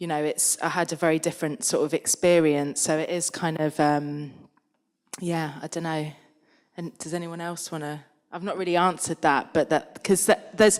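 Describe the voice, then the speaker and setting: The recording is very clean, with a silent background. A woman with a London accent speaks at a moderate pace with fairly even intonation. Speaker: artist panelist. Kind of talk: panel Q&A discussion. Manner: halting.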